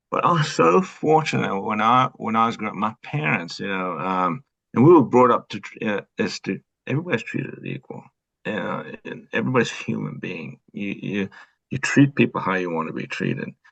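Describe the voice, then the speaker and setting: In a South African accent, a man with a fairly low pitch and vocal fry shows very wide pitch swings and big swings in loudness. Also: dry, close sound with no echo. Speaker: retired police officer. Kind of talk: interview. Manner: halting, many fillers.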